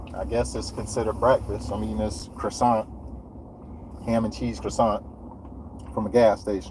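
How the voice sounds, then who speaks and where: A man with an American accent talks at a moderate pace. Noticeable background noise runs underneath. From Florida. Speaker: landscaper livestreamer. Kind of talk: casual livestream chat.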